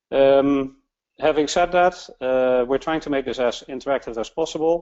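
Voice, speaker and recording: With a Dutch accent, a man talks at a moderate pace in a medium pitch with ordinary pitch variation. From Netherlands. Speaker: webinar host. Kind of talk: webinar introduction. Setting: online webinar. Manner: halting, many fillers.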